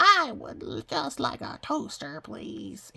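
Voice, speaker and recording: A put-on character voice at a very slow pace. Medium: read story. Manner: polite, earnest.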